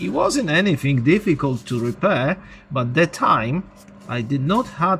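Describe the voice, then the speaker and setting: A man speaks at a fairly slow pace with a non-native accent, his pitch swinging very widely. Noticeable background noise runs behind him. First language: not English. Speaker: electronics repair hobbyist. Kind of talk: tutorial.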